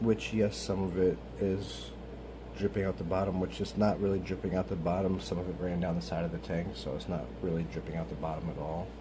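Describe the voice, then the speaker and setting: Quiet and in a room with audible echo, a man with a very deep, low pitch talks at a fairly quick pace with lively intonation. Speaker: YouTuber doing a vape tutorial. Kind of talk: tutorial. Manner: casual, filler-heavy.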